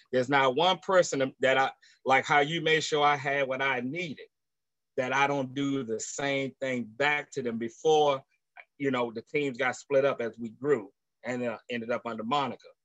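A man's ordinary speaking voice at medium pitch, with fairly even intonation at a moderate pace, dry and close with no echo. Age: 50s. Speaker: team member. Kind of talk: testimony.

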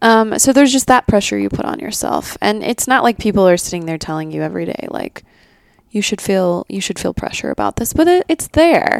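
Heard with a dry, close sound with no echo, a woman talks at a fairly quick pace. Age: 30s. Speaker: podcast co-host. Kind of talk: casual chat.

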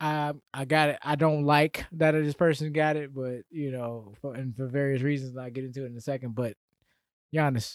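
On a very clean recording with a silent background and a dry, close sound with no echo, a man with an American accent speaks at a moderate pace in a fairly high pitch with fairly even intonation, a plain, everyday voice. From Atlanta area, US South. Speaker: sports podcast co-host. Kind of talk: casual chat.

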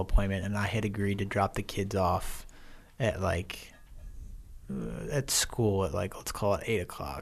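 He's a man with an American accent and a fairly low pitch. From US Midwest. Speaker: former military officer. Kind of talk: interview. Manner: animated.

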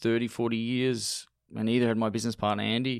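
Here a man speaks with an Australian accent at a moderate pace. The recording is very clean, with a silent background. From Australia, Melbourne. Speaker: restaurateur, cafe founder. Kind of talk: interview.

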